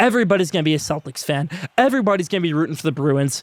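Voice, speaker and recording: An animated tone and lively intonation come through in an American accent, recorded with a dry, close sound with no echo and a very clean, silent background. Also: man. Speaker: sports podcast host. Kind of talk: podcast monologue. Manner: fast.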